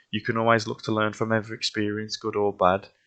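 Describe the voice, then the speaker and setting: A man with a West Midlands accent speaks at a moderate pace, his fairly low voice carrying a bright, sharp tone. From West Midlands, England. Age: 20s. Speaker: vlogger sharing health experience. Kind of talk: personal testimony monologue. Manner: hesitant, with fillers and repetitions.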